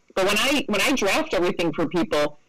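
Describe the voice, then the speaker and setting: A woman speaks with a plain, everyday voice at medium pitch. Her pace is moderate and her pitch variation ordinary. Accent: American. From upstate New York, Rochester. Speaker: estate planning lawyer. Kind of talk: interview.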